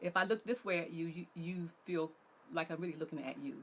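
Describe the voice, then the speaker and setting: With a plain, everyday voice, a woman talks at a fairly quick pace, her fairly low pitch showing ordinary variation. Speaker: relationship coach. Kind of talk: online workshop talk.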